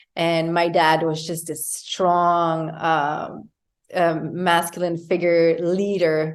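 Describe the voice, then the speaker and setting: In a French Canadian accent, a woman speaks very slowly with a fairly low pitch and monotone, flat intonation. Audible room echo surrounds her voice. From Quebec, Canada. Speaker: yoga teacher and wellness coach. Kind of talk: interview conversation. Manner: halting, many fillers.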